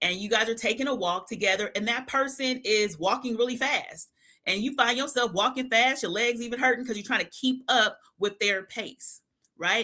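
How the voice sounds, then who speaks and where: A woman speaks at a moderate pace with lively intonation and a fairly high pitch. Her tone is animated and bright, sharp, on a very clean recording with a silent background. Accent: American. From California, Bay Area. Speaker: clinical psychologist. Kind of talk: casual chat. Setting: live stream.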